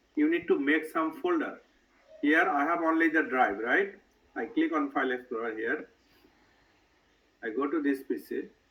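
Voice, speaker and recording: A man speaks at a moderate pace, broken by long, frequent pauses. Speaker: IT trainer. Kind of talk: tutorial.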